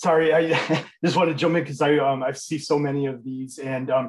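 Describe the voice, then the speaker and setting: Over a quiet background, a man with a fairly high pitch and a somewhat breathy voice talks at a fairly quick pace with fairly even intonation. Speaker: university teacher, attendee; university teacher. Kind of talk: casual chat. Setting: video call. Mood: amused, friendly. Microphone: headset.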